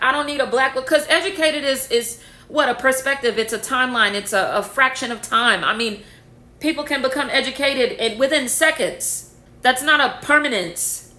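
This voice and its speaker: In an animated, bright, sharp tone, a woman with a high pitch projects a raised voice at a moderate pace with ordinary pitch variation. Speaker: spiritual content creator. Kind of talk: rant to camera. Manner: loud.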